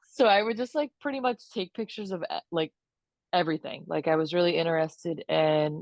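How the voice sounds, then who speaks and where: A woman speaks in an American accent at a moderate pace. Her pitch is fairly low, and she has a plain, everyday voice. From Florida. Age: 30s. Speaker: sports photographer. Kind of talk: podcast interview.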